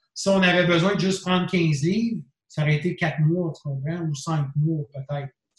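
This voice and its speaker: Delivery is fairly slow. The intonation stays fairly even throughout. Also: man. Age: 40s. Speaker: bodybuilding expert. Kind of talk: casual interview.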